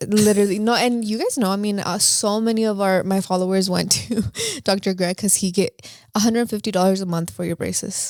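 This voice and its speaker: In a Spanish accent, a woman speaks at a fairly quick pace with a medium pitch and an animated tone. The recording is very clean, with a silent background. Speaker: podcast co-host. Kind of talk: casual chat.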